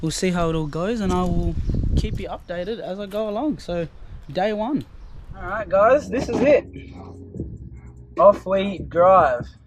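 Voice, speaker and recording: With music in the background, a man with an Australian accent speaks at a fairly slow pace, leaving long, frequent pauses. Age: 20s. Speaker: travel vlogger. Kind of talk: casual vlog narration.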